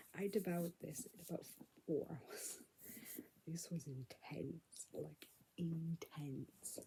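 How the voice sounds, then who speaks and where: Quiet and somewhat breathy, a woman speaks in a fairly low pitch with a dark, mellow tone. Her pace is very slow, with long, frequent pauses and big swings in loudness. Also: ordinary pitch variation. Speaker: book vlogger. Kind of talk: casual vlog, book recap. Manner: speaking quietly.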